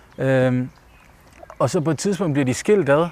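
Here a man talks with ordinary pitch variation. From Denmark, Ikast area (Bosnian-born). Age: 30s. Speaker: debut novelist. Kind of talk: interview while walking. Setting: outdoors walking. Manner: halting, many fillers.

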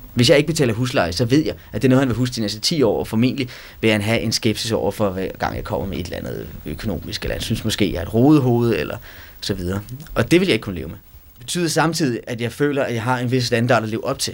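A man with a medium pitch talks very fast, his intonation lively. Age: 20s. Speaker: student. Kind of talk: interview testimony.

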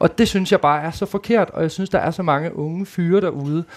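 This man's voice sits high in pitch. He keeps a moderate pace with fairly even intonation. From Denmark, Djursland (Mols). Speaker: reality TV participant. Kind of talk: live panel conversation. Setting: stage with audience.

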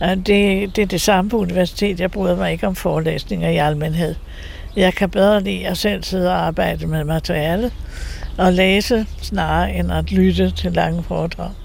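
Noticeable background noise and audible room echo surround a woman who speaks at a moderate pace. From Denmark, Copenhagen (Valby). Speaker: nun and icon painter. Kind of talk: interview. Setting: her home. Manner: halting.

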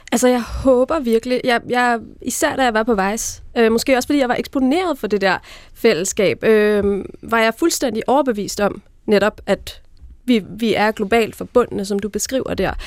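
On a very clean recording with a silent background, a woman speaks in an unremarkable speaking voice at a fairly slow pace, her pitch fairly high with ordinary pitch variation. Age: 30s. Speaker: magazine editor-in-chief. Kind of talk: panel discussion. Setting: radio studio.

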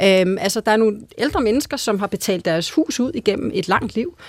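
A woman speaks at a moderate pace with a fairly high pitch and lively intonation. The sound is dry and close, with no echo. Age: 40s. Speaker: politician, family spokesperson. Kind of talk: radio debate. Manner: hesitant with many fillers.

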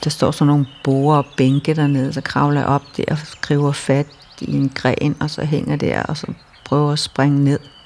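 A woman speaks at a fairly slow pace in a very deep, low pitch. Her intonation is monotone and flat, with noticeable background noise. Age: 60s. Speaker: storyteller sharing life story. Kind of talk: personal testimony. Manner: halting.

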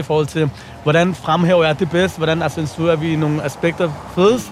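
Over noticeable background noise, a man with a fairly high pitch speaks in fairly even intonation. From Copenhagen, Nørrebro. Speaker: playwright and rapper. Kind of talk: casual chat. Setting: outdoors.

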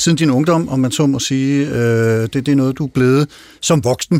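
A man speaks in an ordinary speaking voice at a moderate pace, with ordinary pitch variation. The sound is dry and close, with no echo. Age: 50s. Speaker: radio host. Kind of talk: radio talk show.

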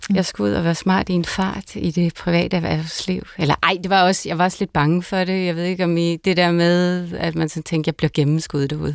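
A woman speaks in a normal speaking voice, fairly low in pitch, at a fairly quick pace. Her intonation stays fairly even, and the recording is very clean with a silent background. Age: 40s. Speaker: pastor. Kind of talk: casual chat. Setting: studio.

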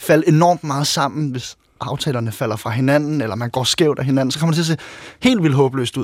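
Talking at a fairly quick pace, a man with a plain, everyday voice uses a fairly high pitch and ordinary pitch variation. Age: 30s. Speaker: author and former handball player. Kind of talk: interview.

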